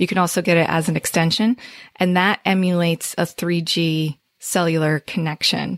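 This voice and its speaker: A woman speaks in a New Jersey accent at a moderate pace, fairly low in pitch, with flat, monotone intonation and very even loudness. The sound is dry and close with no echo, in a very clean recording over a silent background. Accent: New Jersey American. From northern New Jersey. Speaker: SEO agency owner. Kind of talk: interview.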